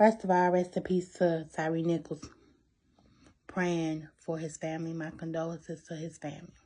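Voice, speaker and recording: A woman uses a put-on character voice, fairly low in pitch, quiet and strained. Her intonation is monotone and flat, at a moderate pace. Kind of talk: sober, condolence tone. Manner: quiet, calm, restrained.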